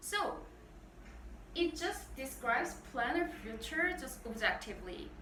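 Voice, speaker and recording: A woman speaks very slowly in a Korean accent, with audible echo in the room. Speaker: Korean language teacher. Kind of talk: tutorial. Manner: halting, many fillers.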